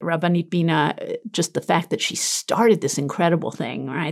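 A woman talks at a fairly quick clip with lively intonation. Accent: New York. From US, Brooklyn, New York. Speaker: tour guide and Torah teacher. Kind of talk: casual interview.

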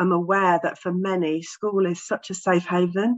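A woman speaks with an English accent. Her intonation is fairly even. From England. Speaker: specialist teacher and therapist, author. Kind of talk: interview.

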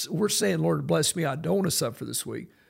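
A man talks with vocal fry. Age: 60s. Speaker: pastor. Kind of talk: podcast interview.

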